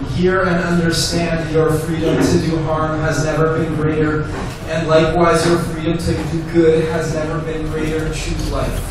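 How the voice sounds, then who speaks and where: Amid noticeable background noise and strong room echo, a man talks at a moderate pace in a monotone, flat intonation with fairly high pitch. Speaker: rabbi. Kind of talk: spoken word poetry performance. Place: cafe.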